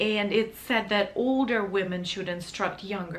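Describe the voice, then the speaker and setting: A woman speaks with a non-native accent at a moderate pace. Audible room echo surrounds her voice. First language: not English. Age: 30s. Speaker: vlogger, wedding photographer. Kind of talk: casual vlog talk to camera. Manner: halting, self-correcting.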